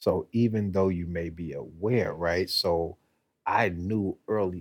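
His pitch is very deep and low. The voice is somewhat breathy, and its pitch varies in an ordinary way. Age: 40s. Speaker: podcast co-host, former teacher. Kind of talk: casual chat.

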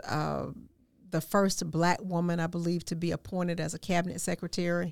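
A woman with an ordinary speaking voice, fairly low in pitch, with fairly even intonation and a moderate pace, in a very clean recording with a silent background. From Augusta, Georgia, US South. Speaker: former city administrator, podcast host. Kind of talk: interview conversation.

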